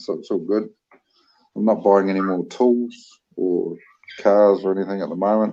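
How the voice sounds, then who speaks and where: A dark, mellow tone in a New Zealand accent. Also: man. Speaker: livestream co-host. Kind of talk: casual livestream chat.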